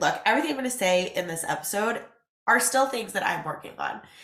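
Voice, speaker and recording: The speaker talks at a fairly quick pace in an animated tone with lively intonation. The room echo is audible. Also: woman. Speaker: podcast host and business owner. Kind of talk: casual solo podcast talk. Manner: animated, chatty.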